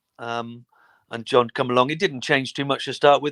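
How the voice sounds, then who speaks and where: Over a silent background in a very clean recording, a man with a medium pitch talks at a fairly quick pace with fairly even intonation, the sound dry and close with no echo. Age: 60s. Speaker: former footballer. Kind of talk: interview. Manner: halting.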